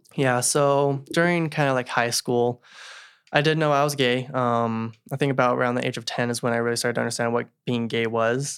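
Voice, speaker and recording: A man with an American accent uses a plain, everyday voice at medium pitch. He talks at a fairly quick pace with fairly even intonation. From Salt Lake City, Utah. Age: 20s. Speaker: returned missionary sharing his story. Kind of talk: casual interview, personal story. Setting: home recording, in person.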